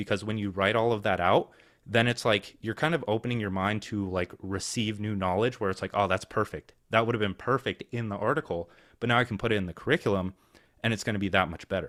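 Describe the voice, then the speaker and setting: A man speaks at a very fast pace with a fairly low pitch, in a very clean recording with a silent background and a dry, close sound with no echo. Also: ordinary pitch variation. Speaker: online business coach. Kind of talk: group coaching call Q&A.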